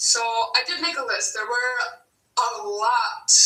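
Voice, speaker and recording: A woman talks with a high pitch in an American accent. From Wisconsin. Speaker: vlogger. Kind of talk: Q&A vlog. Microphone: no microphone, poor audio.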